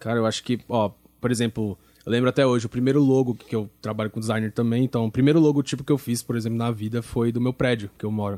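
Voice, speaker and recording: Very fast and fairly even in intonation, a man's medium-pitched voice has a dark, mellow tone and a dry, close sound with no echo. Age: 20s. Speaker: church media team leader. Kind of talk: casual chat.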